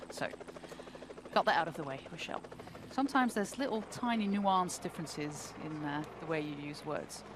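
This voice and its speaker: Pitch swings very widely at a fairly quick pace. Noticeable background noise runs underneath. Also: woman, fairly low pitch for a woman. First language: not English. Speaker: cycling race commentator. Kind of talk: live commentary.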